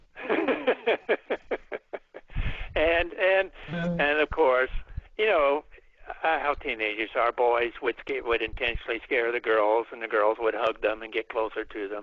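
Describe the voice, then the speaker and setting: A man speaks at a medium pitch with lively intonation. His pace is fairly slow, broken by long, frequent pauses. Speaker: folklorist and author on ghost narratives. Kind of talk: radio interview answer, storytelling.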